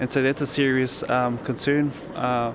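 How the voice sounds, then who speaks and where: Amid noticeable background noise, a man speaks at medium pitch in a flat monotone. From New Zealand. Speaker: young Maori activist, film subject. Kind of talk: interview. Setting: hotel lobby.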